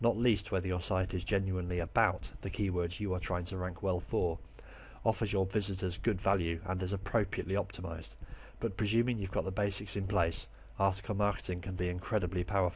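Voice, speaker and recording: A man with an English accent talks very fast in a very deep, low, somewhat breathy voice with monotone, flat intonation. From England. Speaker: online marketing teacher. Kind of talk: tutorial. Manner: clear, scripted delivery.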